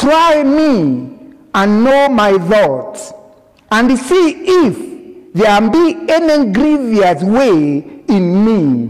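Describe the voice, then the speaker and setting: A man's high-pitched, very slow speech with very wide pitch swings, very even loudness, and noticeable background noise. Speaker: Methodist minister. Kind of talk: church sermon.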